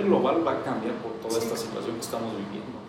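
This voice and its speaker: Audible room echo and noticeable background noise surround the speaker. He is a man whose pitch varies in an ordinary way. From Mexico, Michoacán (Santa Clara del Cobre). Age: 30s. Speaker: entrepreneur. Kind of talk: interview.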